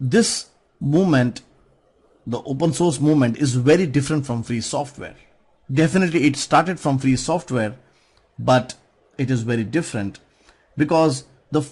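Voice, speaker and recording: A man speaks in a somewhat breathy voice. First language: not English. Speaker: conference speaker on software. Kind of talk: conference talk.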